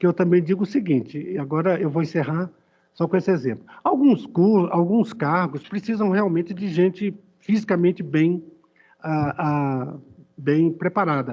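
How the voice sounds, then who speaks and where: A man talks in a high register, and his pitch varies in an ordinary way. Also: moderate pace. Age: 60s. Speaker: judge. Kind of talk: court deliberation. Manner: halting; emphatic.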